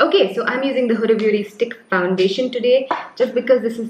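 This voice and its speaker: A woman talks amid audible room echo and light background noise. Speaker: beauty vlogger. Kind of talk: casual makeup tutorial chat. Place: home room.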